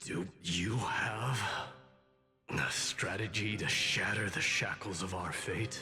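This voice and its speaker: Over music in the background, a man growls in a put-on character voice at a fairly low pitch, a fairly slow pace and very even loudness. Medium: video game. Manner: solemn, terse.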